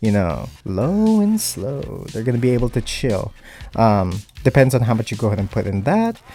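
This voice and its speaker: A non-native accent with ordinary pitch variation, music in the background. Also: man, medium pitch for a man, moderate pace. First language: not English. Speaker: gaming mod tutorial YouTuber. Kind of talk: tutorial. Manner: casual, hesitant with fillers.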